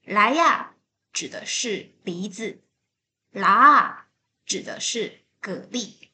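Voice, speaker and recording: A woman at a very slow pace, with a Taiwanese accent, lively intonation and a bright, sharp tone. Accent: Taiwanese Mandarin. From Taiwan, Taipei. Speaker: podcast host. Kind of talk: scripted correction.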